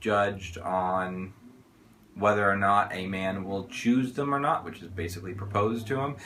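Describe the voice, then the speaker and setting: A man speaks at a fairly low pitch. Audible room echo is present. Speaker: book reviewer. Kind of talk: casual video review.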